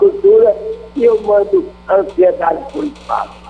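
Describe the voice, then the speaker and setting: A man talks fairly slowly, with noticeable background noise present. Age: 70s. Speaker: radio caller. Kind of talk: call-in. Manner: halting.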